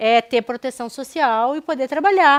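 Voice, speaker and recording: A woman with a Porto Alegre accent speaks at a moderate pace with lively intonation, recorded very cleanly against a silent background with a dry, close sound and no echo. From southern Brazil, Porto Alegre. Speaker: anthropologist researcher. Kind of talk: public lecture. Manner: hesitant, with fillers and restarts.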